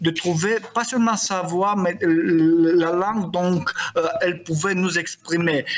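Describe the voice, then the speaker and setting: Speaking very slowly with a Romanian accent, a man uses a high voice with ordinary pitch variation over noticeable background noise. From Moldova, Chisinau. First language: Romanian (speaking French). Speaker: poet and novelist. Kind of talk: interview. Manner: halting.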